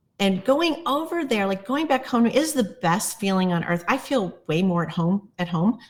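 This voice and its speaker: The voice is somewhat breathy, with very wide pitch swings. It moves at a moderate pace with hardly any pauses. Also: woman, medium pitch for a woman. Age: 60s. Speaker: plant medicine guide. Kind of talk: casual chat. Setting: podcast interview.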